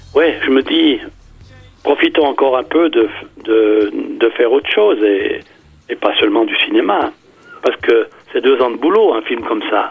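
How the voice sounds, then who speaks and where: Noticeable background noise surrounds a man who speaks fairly slowly, with long, frequent pauses. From Switzerland, canton of Fribourg. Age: 70s. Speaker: amateur filmmaker. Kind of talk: radio interview. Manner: halting, many hesitations and repetitions.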